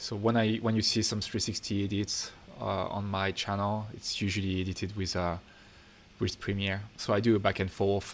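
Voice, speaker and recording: Flat and monotone, a man speaks at a fairly low pitch and a moderate pace. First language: French. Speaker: filmmaker and YouTuber. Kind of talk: livestream Q&A. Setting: home studio livestream. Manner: casual, relaxed. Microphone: technical issues on the stream.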